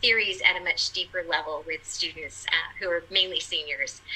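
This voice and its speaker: A woman speaks in a Californian accent over noticeable background noise. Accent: Californian American. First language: Portuguese. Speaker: college communication instructor. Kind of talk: panel discussion.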